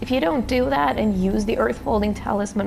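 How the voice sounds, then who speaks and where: Over background music, a woman with a non-native accent talks at a fairly quick pace, with audible room echo. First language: not English. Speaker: gaming YouTuber. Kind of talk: gameplay tutorial commentary. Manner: hesitant, many fillers.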